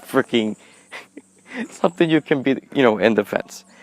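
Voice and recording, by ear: A man talks with lively intonation and vocal fry.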